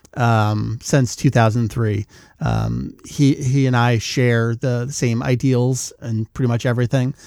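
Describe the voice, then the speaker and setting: In a plain, everyday voice, a man of medium pitch speaks at a fairly slow pace with fairly even intonation, on a very clean recording with a silent background. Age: 40s. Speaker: podcast host, fan site runner. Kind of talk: casual chat.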